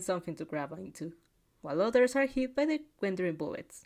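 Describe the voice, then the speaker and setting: A woman talks at a moderate pace with a non-native accent. Her pitch sits in the medium range. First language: not English. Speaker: fanfic reaction reader. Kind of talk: casual chat; reading aloud with reactions. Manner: halting; animated. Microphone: new microphone.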